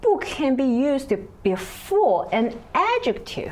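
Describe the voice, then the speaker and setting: A woman speaks with a Chinese accent and very wide pitch swings. Audible room echo surrounds her voice. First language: Mandarin Chinese. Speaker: Chinese language teacher. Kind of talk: language lesson. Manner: hesitant, many fillers.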